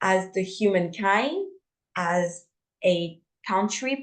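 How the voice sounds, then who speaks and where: Speaking with a non-native accent, a woman moves through very wide pitch swings. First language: not English. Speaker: podcast co-host. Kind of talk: casual spiritual discussion. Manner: halting, repeats words.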